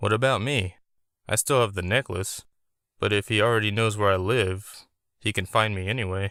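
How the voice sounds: Behind a natural reading voice, the background is quiet.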